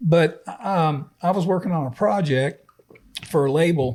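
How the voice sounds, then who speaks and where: Somewhat breathy and fairly high in pitch, a man's voice moves with ordinary pitch variation. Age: old. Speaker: podcast co-host, music industry producer. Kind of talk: casual chat.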